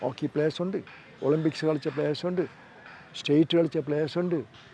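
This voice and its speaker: Fairly even intonation comes through noticeable background noise. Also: man. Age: 80s+. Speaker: football coach. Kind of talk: interview answer.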